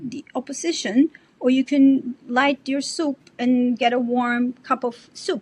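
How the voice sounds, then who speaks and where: A dry, close sound with no echo, noticeable background noise, and a Spanish accent. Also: woman. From Colombia. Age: 60s. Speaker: artist and bitcoin advocate. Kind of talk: podcast interview. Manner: animated.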